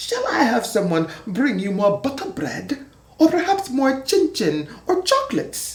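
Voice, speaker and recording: Someone performs a put-on character voice with a high pitch at a moderate pace. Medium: read story.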